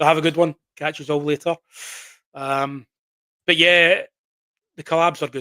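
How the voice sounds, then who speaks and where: Recorded dry and close with no echo, a man speaks with a Glaswegian accent. His tone is bright and sharp, and his intonation is monotone and flat. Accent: Glaswegian Scottish. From Scotland, Glasgow. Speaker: horror story channel owner. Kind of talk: casual live stream chat. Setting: live stream at PC.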